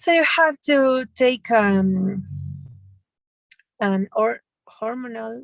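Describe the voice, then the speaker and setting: With long, frequent pauses, a woman talks at a very slow pace in a fairly high voice, her intonation lively and the sound dry and close with no echo. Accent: Spanish. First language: Spanish. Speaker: medical student or doctor in English class. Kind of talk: language class practice. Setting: in a car. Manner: halting.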